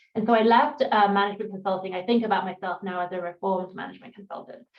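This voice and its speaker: The voice has an English accent and a very fast pace. Its intonation stays fairly even. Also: woman. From England. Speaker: startup founder and CEO, former management consultant. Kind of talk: panel interview.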